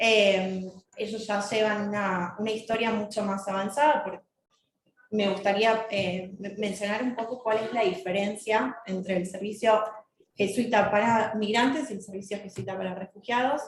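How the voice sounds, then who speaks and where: A woman talks with fairly even intonation, and the room echo is audible. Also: medium pitch for a woman, moderate pace. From Argentina. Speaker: lawyer. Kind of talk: panel talk. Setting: conference panel, also streamed on Zoom. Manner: many hesitations (eh).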